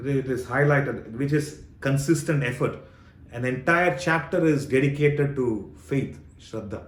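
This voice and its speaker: A somewhat breathy man with a fairly high pitch, at a fairly slow pace, with audible room echo. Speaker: spiritual teacher. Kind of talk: Q&A session on scripture.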